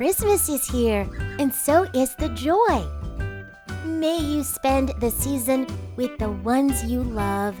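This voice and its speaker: A female-sounding cartoonish character voice talks at a fairly slow pace with clear music in the background. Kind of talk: children's holiday greeting narration. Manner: cheerful, warm.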